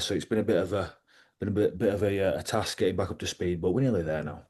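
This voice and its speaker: A man talks at a very fast pace with ordinary pitch variation. His tone is dark and mellow. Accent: Yorkshire. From West Yorkshire, England (Liversedge). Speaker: professional wrestler, ex-rugby league player. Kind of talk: casual interview chat.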